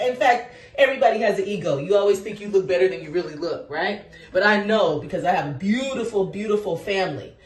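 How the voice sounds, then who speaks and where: A woman's medium-pitched, animated voice at a very fast pace, with lively intonation, big swings in loudness, audible room echo and noticeable background noise. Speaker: teacher and vlogger. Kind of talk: casual monologue to camera. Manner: loud, projecting.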